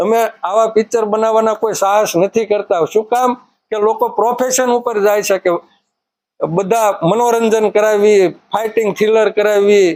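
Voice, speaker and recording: A man's high-pitched voice, monotone and flat in intonation, with very even loudness throughout. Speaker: film producer and writer. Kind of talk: speech to cinema audience.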